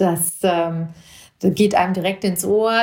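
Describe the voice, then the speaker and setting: A woman with a plain, everyday voice speaks at a medium pitch. Her pace is fairly slow and her intonation fairly even. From Germany, Hesse (Marburg Hinterland). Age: 40s. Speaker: judge and mayoral candidate podcaster. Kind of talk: personal monologue podcast.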